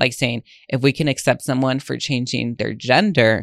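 A man talks at a medium pitch with fairly even intonation and vocal fry. The sound is dry and close, with no echo. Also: very clean recording, silent background. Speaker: podcast host. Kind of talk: casual monologue. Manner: casual, many fillers.

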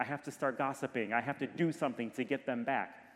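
A man with a normal speaking voice and a medium pitch talks at a fairly quick pace. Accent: American. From US Midwest, Detroit, Michigan. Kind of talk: sermon.

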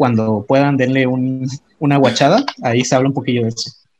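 Moving at a fairly quick pace, this man talks at a medium pitch. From Mexico, Tabasco. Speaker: podcast co-host. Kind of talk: casual chat. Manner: animated.

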